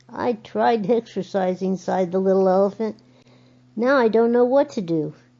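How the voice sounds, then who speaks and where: A woman with an unremarkable speaking voice talks at a moderate pace and medium pitch, with lively intonation. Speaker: grandmother reading to her granddaughters. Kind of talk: children's picture book reading. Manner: warm, storytelling.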